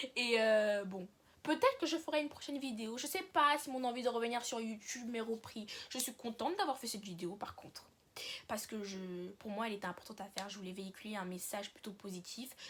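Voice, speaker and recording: A woman speaks fairly quickly in a fairly high voice with lively intonation. Her loudness swings widely. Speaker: YouTuber. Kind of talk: casual vlog monologue. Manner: fast.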